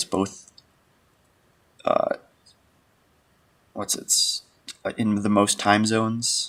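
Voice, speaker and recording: A soft-spoken man with an American accent. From United States. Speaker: animator and streamer. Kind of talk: casual livestream commentary. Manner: quiet, soft-spoken.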